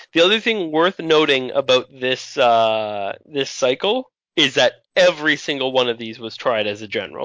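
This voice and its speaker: Using an ordinary speaking voice, a man talks at a moderate pace with lively intonation and fairly high pitch. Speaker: podcast host. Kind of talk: casual chat.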